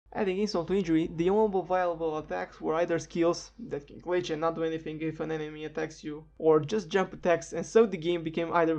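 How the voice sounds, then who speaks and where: With a non-native accent, a woman talks at a very fast pace in a fairly low pitch, keeping her intonation fairly even. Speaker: game reviewer. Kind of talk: video game review narration.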